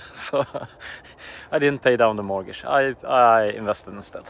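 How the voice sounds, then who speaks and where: A man with a Swedish accent. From Sweden. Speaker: early retiree husband. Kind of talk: casual interview.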